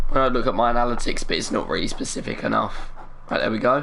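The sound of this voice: Vocal fry runs through a fairly bright tone that has ordinary pitch variation. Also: man.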